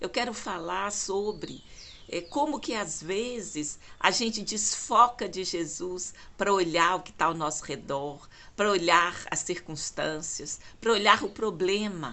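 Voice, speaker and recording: A woman's medium-pitched voice at a very slow pace, with lively intonation and big swings in loudness. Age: 60s. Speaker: lay preacher. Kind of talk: devotional talk. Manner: halting.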